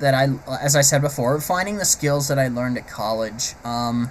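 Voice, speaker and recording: Over noticeable background noise, a man talks in a fairly high pitch with ordinary pitch variation. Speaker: vlogger, aspiring animator. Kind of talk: personal vlog monologue. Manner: halting, stammering; unscripted, hesitant.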